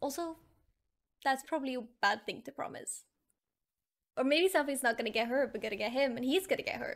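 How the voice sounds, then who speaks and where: Against a quiet background, a woman speaks with high pitch and lively intonation at a fairly quick pace. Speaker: reaction streamer. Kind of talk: casual reaction commentary. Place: home room. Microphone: studio mic.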